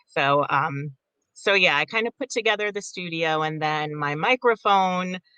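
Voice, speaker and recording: Speaking at a moderate pace, a woman uses lively intonation in a fairly low voice. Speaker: audiobook narrator. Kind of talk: interview. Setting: home recording studio. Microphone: studio condenser mic with sound treatment.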